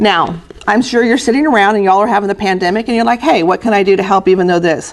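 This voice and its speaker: Over noticeable background noise, a woman talks very fast at a medium pitch, with ordinary pitch variation and very even loudness. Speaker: historical society president giving a talk. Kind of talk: recorded presentation. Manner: casual with many fillers.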